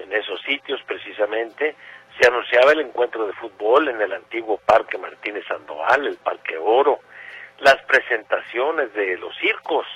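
At a moderate pace, a man with medium pitch and ordinary pitch variation uses an ordinary speaking voice, with big swings in loudness. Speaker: radio host. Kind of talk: radio nostalgia show.

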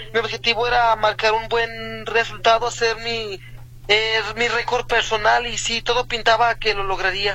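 Against noticeable background noise, a man with a high pitch speaks in a raised, projected voice at a fairly slow pace, his intonation monotone and flat. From Mexico, Tonalá, Jalisco. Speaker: amateur runner. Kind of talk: radio interview. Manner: halting, hesitant.

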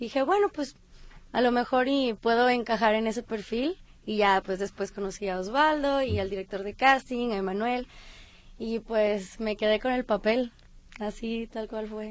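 A woman with an unremarkable speaking voice talks at a fairly slow pace, her fairly high pitch showing ordinary pitch variation. The recording is very clean, with a silent background. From Colima, Mexico. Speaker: actress. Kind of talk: interview.

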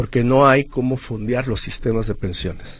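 This man's voice is somewhat breathy. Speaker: social security expert, accountant. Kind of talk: radio interview, legal advice. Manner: halting, with repetitions.

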